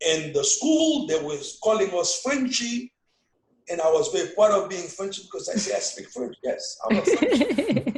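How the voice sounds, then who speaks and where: A man with a strong Haitian accent speaks at a fairly slow pace. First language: Haitian Creole. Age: 50s. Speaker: father being interviewed. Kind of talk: casual family interview.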